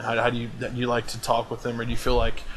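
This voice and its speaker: Over noticeable background noise, a man with an American accent speaks at a very fast pace and medium pitch with fairly even intonation. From US South, Atlanta, Georgia. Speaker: gaming clan host. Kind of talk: casual group voice chat. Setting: online voice chat.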